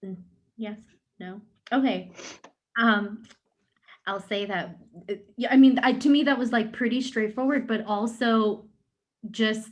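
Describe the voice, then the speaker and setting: Somewhat breathy and fairly high-pitched, a woman speaks fairly slowly with fairly even intonation, big swings in loudness and long, frequent pauses. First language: Urdu. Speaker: panel moderator. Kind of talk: panel discussion. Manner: halting.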